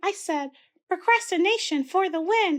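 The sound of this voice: A squeaky, put-on character voice pitched extremely high moves along at a moderate pace.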